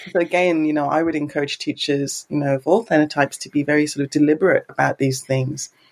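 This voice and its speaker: A woman's very deep, low voice with an English accent, very fast with hardly any pauses and fairly even intonation, in a dry, close sound with no echo. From England. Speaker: researcher and university English teacher. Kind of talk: casual chat.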